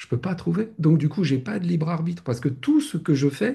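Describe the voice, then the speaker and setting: A man speaks with a dark, mellow tone. His pitch is fairly high and his intonation lively. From France. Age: 60s. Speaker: spiritual teacher. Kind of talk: casual chat. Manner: halting.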